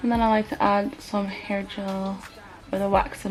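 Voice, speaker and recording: Over noticeable background noise, a woman talks at medium pitch. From half Swedish, half Nigerian. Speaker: hair tutorial vlogger. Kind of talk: casual tutorial talk to camera.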